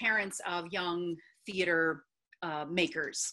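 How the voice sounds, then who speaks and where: A woman speaks with a bright, sharp tone. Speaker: theatre safety advocate, document co-author. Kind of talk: panel presentation. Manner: halting, many fillers.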